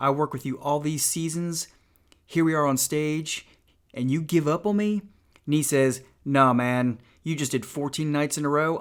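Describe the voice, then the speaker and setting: Talking in a Georgia accent, a man with a fairly high pitch and ordinary pitch variation moves at a fairly slow pace on a very clean recording with a silent background. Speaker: YouTuber reading an audiobook. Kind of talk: reading aloud; casual chat.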